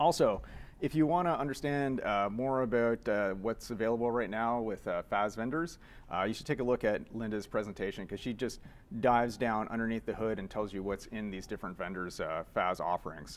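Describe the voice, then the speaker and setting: A man talks at a fairly quick pace with a Canadian accent. His pitch is medium with ordinary variation. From Canada. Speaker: software developer, conference speaker. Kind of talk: conference talk. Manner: fast; casual, filler-heavy.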